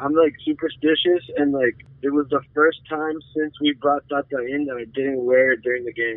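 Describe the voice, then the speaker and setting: A man with a normal speaking voice and a fairly high pitch speaks at a moderate pace with fairly even intonation and hardly any pauses. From Arizona, US-Mexico border (Nogales). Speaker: real estate agent and football superfan. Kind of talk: casual chat.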